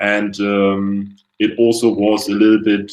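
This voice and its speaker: A man with a German accent talks in a fairly low pitch with monotone, flat intonation. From Germany, Hamburg. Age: 20s. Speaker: university student. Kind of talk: webinar presentation. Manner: hesitant, many fillers.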